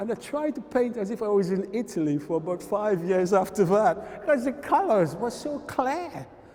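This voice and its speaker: A man talks at a high pitch, his voice swinging very widely up and down. Noticeable background noise runs underneath. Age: 60s. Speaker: painter. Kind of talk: interview.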